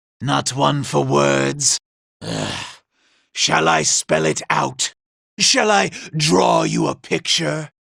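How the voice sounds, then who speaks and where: A man uses a put-on character voice, raspy and very deep in pitch. He talks at a very slow pace with long, frequent pauses. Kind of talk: video game character dialogue. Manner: sneering, condescending.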